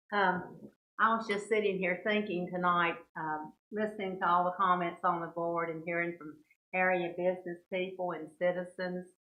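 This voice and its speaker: Monotone, flat delivery at a moderate pace with audible room echo. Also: woman, medium pitch for a woman. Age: 70s. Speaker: mayor pro tem. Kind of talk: council meeting remarks.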